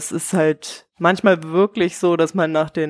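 Very slowly, a woman speaks at a fairly low pitch with fairly even intonation. The sound is dry and close, with no echo. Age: 20s. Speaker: air traffic controller. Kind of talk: casual chat.

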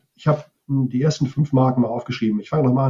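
Somewhat breathy, a man talks at a medium pitch with fairly even intonation. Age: 50s. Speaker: advertising sales manager and cycling writer. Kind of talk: casual interview.

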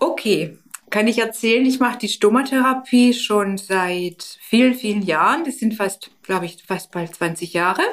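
Delivered at a fairly slow pace, a normal speaking voice carries lively intonation. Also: woman, fairly high pitch for a woman. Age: 50s. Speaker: stoma nurse. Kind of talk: interview.

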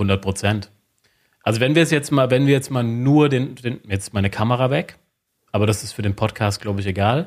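In a very clean recording with a silent background, a man uses a normal speaking voice at a medium pitch, moderate pace and ordinary pitch variation. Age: 30s. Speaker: sales psychology lecturer and consultant. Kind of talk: interview.

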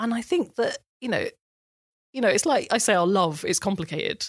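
A woman's fairly high voice with very wide pitch swings at a moderate pace, dry and close with no echo, on a very clean recording with a silent background. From England, Kent village. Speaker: journalist and broadcaster. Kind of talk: interview conversation.

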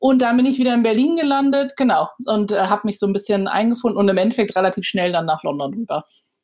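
The voice moves at a very fast pace with hardly any pauses. Its intonation is lively and its loudness very even. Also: woman, fairly high pitch for a woman. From Hamburg, Germany. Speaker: PR agency founder. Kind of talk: podcast interview.

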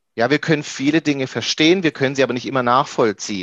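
A man speaks at medium pitch with ordinary pitch variation. The sound is dry and close with no echo, over a quiet background. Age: 30s. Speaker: IT professional and coach. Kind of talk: interview conversation. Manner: hesitant, many fillers.

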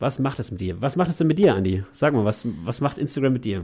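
A man talks at a very fast pace with a dark, mellow tone, medium pitch and lively intonation. The recording is very clean, with a silent background. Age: 30s. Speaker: youth ministry worker and gamer. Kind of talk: casual chat.

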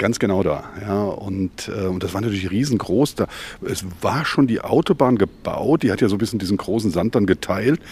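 A plain, everyday voice, fairly low, from a man. He talks at a moderate pace with lively intonation. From Mainz-Gonsenheim. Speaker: publisher and agency owner. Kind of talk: casual interview.

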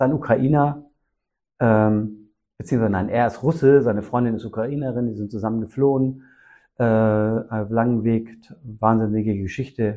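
The man's medium-pitched voice keeps fairly even intonation and moves at a moderate pace. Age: 50s. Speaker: social worker and didgeridoo musician. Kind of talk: interview conversation. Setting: music room. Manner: hesitant with fillers.

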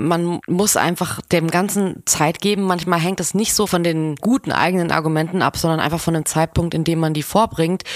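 At a moderate pace, a woman speaks in a normal speaking voice, fairly low in pitch with fairly even intonation, on a very clean recording with a silent background. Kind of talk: casual chat.

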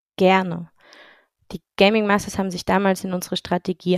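A woman at a medium pitch, monotone and flat, at a moderate pace, on a very clean recording with a silent background and a dry, close sound with no echo. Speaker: startup founder, former handball player. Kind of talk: podcast interview.

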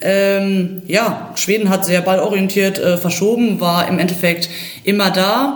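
Amid noticeable background noise and audible room echo, a woman speaks very slowly at a medium pitch, with very even loudness and fairly even intonation. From Germany, Ruhr area (Bochum). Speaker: football coach and former player. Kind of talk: casual football analysis.

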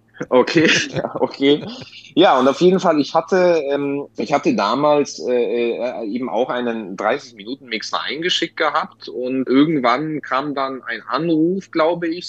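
A man with a Polish accent, fairly high in pitch, with ordinary pitch variation. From Bavaria, Lower Franconia (Bad Kissingen). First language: Polish (speaking German). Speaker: booking agent and DJ. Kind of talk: casual interview. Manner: halting, many repeated words.

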